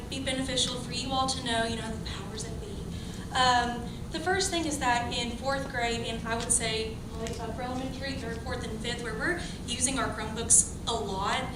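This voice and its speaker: A soft-spoken woman talks at a moderate pace with a high pitch and ordinary pitch variation. Noticeable background noise and audible room echo are present. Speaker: elementary school teacher. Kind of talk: public comment at a meeting. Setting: school board meeting, microphone.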